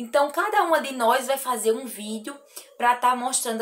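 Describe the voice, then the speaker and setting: The speaker is a woman. Her pitch is high. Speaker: crochet artisan youtuber. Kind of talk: casual vlog chat. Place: workshop.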